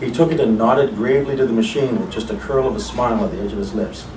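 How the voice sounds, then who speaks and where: A man rushes through his words at a very fast pace, with audible room echo and noticeable background noise in the recording. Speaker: writer's son. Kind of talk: memorial reading of personal memories.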